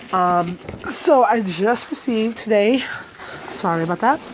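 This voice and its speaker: A woman speaks with long, frequent pauses. Noticeable background noise is present. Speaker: craft vlogger and product demonstrator. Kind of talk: casual haul video. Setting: at home in bedroom. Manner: halting, many fillers.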